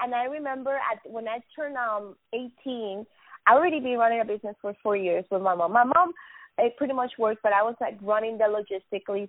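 Speaking in a Spanish accent, a woman with a fairly high pitch talks at a very fast pace with ordinary pitch variation. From Venezuela. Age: 20s. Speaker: business owner. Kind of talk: casual interview chat.

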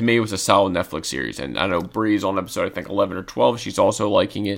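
This man talks at a fairly quick pace with vocal fry. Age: 20s. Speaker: podcast co-host. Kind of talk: casual chat.

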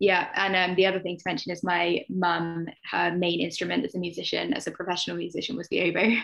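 The speech comes very fast. There are hardly any pauses. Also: woman. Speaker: author, teacher and therapist. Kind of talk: casual chat.

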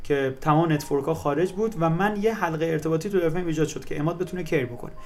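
Here a man speaks at a very fast pace in a high pitch. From Iran, Mazandaran. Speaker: startup founder and CEO. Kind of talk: interview.

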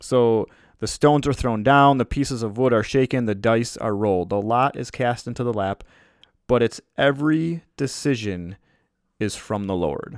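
An unremarkable speaking voice: a man with an American accent, medium pitch, ordinary pitch variation and a moderate pace. The sound is dry and close with no echo, on a very clean recording with a silent background. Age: 30s. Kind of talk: devotional talk.

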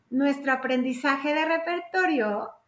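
This woman's pitch varies in an ordinary way, and audible room echo can be heard around her. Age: 50s. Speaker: gestalt psychotherapist. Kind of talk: casual interview chat.

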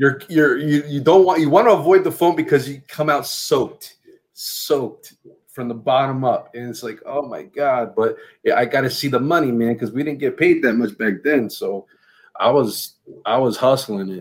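Ordinary pitch variation and a moderate pace from a man whose voice sits fairly high. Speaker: podcast co-host guesting on another podcast. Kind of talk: casual chat. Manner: calm.

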